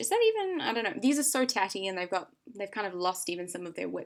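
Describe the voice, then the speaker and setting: This woman speaks in a New Zealand accent. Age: 20s. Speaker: vlogger sharing personal health experience. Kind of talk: casual vlog talk. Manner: informal, hesitant with many fillers.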